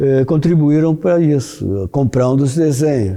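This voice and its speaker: At a fairly slow pace, a man talks in a dark, mellow tone with ordinary pitch variation. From Brazil (Rio de Janeiro), born in Porto, Portugal. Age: 70s. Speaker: visual artist. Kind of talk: interview monologue. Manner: halting, many restarts and fillers.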